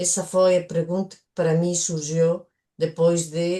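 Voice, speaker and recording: Very slowly and in a monotone, flat way, a woman speaks with a fairly low pitch and a dark, mellow tone. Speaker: coach, workshop participant. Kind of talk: workshop discussion. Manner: hesitant.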